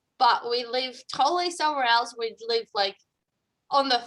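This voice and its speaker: Speaking at a moderate pace, a woman has an Australian accent and a bright, sharp tone. Her intonation is lively. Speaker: coach. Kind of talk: casual interview conversation.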